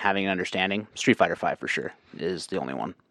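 Speaking at a fairly quick pace, a man uses a plain, everyday voice with ordinary pitch variation. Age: 30s. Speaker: game development course creator and fighting game player. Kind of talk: casual chat.

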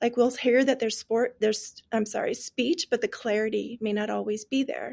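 A woman in a normal speaking voice, fairly high-pitched, talks at a moderate pace with fairly even intonation. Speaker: teacher of deaf and hard of hearing students. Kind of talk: casual interview chat. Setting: video call.

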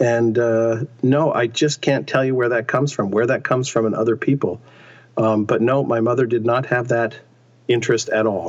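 A man with an ordinary speaking voice talks at a medium pitch and moderate pace. His loudness stays very even, his intonation fairly even, over a quiet background. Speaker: actor. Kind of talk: interview.

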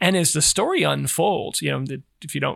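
Bright and sharp in tone, a man talks at a fairly quick pace with a fairly high pitch and some vocal fry. The recording is very clean, the background silent. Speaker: podcast host. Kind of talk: casual interview chat. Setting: in-person studio recording.

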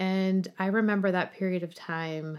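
A woman with an American accent and an unremarkable speaking voice, medium in pitch, with fairly even intonation. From US Midwest, small-town Nebraska. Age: 40s. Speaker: guest sharing life story. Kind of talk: podcast interview, personal testimony.

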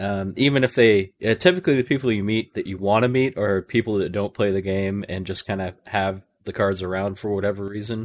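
Over a quiet background, a man with an ordinary speaking voice talks at a fairly quick pace with hardly any pauses, his fairly low pitch held to fairly even intonation. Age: 30s. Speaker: podcaster and Magic content creator. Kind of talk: casual chat.

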